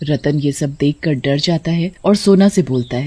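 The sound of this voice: A woman's low-pitched, dark, mellow voice with ordinary pitch variation at a fairly slow pace.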